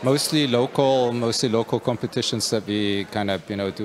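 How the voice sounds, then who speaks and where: A man with a German accent at a fairly quick pace, crowd noise in the background. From Germany. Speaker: company executive. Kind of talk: interview. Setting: puzzle competition event. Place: hall.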